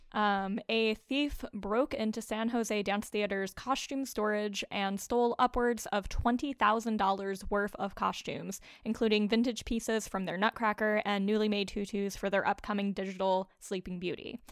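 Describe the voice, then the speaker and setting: Recorded very cleanly against a silent background, a woman with an ordinary speaking voice talks at a moderate pace in a fairly high pitch with fairly even intonation. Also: hardly any pauses. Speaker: podcast co-host and dance editor. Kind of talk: casual chat.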